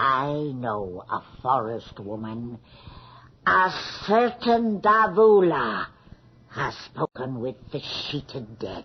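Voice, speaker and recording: A put-on character voice at a low-to-middle pitch, very slow, with very wide pitch swings. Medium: old radio play. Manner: deferential, hushed.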